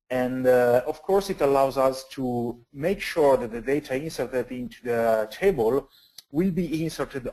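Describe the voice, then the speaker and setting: In an Italian accent, a man speaks at a medium pitch with a dark, mellow tone. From Italy. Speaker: database consultant and conference speaker. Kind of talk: technical webcast presentation. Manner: halting, many fillers.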